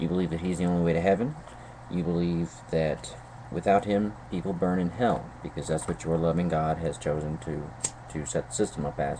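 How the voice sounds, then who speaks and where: Very deep and low, a man's voice comes in a Southern US accent with ordinary pitch variation. There is noticeable background noise. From North Carolina. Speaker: YouTube vlogger. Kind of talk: video response monologue. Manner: hesitant, many fillers and repetitions.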